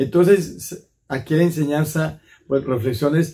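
A man speaks in a dark, mellow tone, somewhat breathy. His pitch variation is ordinary. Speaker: priest. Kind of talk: sermon reflection. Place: home room.

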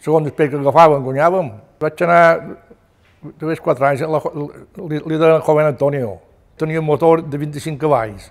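With a Mallorcan accent, a man talks fairly slowly at a fairly high pitch and with fairly even intonation. Long, frequent pauses break up his speech over a quiet background. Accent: Mallorcan Catalan. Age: 80s+. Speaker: retired fisherman. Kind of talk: oral history testimony. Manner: halting. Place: home room.

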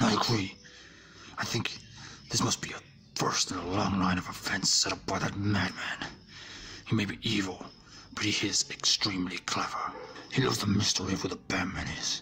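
Whispering, a man puts on a character voice. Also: moderate pace. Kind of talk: ASMR audio drama.

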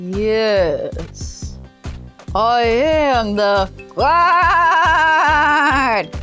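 Over clear background music, a woman does a put-on character voice at a high pitch.

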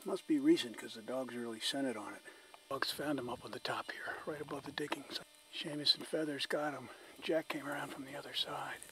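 A man speaks at a fairly quick pace, his loudness swinging widely. Noticeable background noise runs underneath. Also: dry sound with no echo. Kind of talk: commentary. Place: open country. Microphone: old recording.

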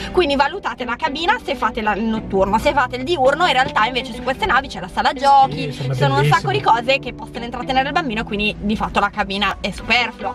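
Clear music sits behind a woman who speaks at a very fast pace in a high pitch, the sound dry with no echo. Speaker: travel vlogger. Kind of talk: casual vlog chat. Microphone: phone near.

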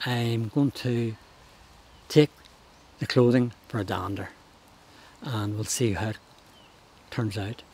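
In a Northern Irish accent, a somewhat breathy man speaks at a very slow pace with fairly even intonation and long, frequent pauses, in a dry sound with no echo. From Northern Ireland. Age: 70s. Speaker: charity walker. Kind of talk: interview answer. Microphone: lapel.

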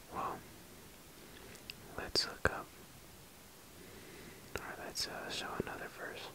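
Someone whispers at a very slow pace, with big swings in loudness and long, frequent pauses. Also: man. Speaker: ASMR creator. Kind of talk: casual ASMR ramble to camera. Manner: whispered.

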